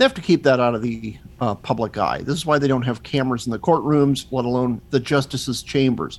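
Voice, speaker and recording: The intonation stays fairly even in a normal speaking voice. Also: man. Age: 50s. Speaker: magazine editor and podcaster. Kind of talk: casual chat.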